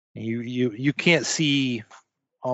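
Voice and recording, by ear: Fairly even intonation in a natural voice reading aloud, against a quiet background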